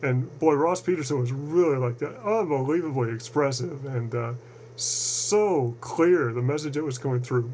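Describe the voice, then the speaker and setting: Over noticeable background noise, a man with an American accent speaks at medium pitch. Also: ordinary pitch variation, moderate pace. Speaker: channeling researcher video blogger. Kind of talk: casual monologue video address. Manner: hesitant, many fillers and repetitions.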